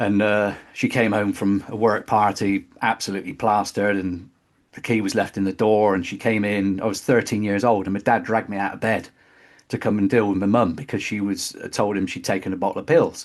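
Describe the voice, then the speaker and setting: A man speaks in a West Country accent at a fairly quick pace. His voice is fairly low in pitch with monotone, flat intonation. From West Country, England (Bristol). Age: 50s. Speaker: metal drummer. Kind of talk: interview testimony. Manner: halting.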